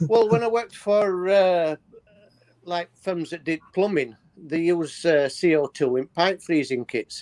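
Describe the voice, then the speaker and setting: A man with a Yorkshire accent speaks at a fairly slow pace in a high voice, with ordinary pitch variation. The sound is dry and close, with no echo. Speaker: livestream guest. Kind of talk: casual chat. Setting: livestream.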